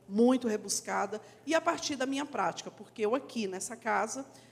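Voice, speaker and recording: A woman talks at a moderate pace with ordinary pitch variation. Hers is a plain, everyday voice. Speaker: actress and teacher. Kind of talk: panel discussion.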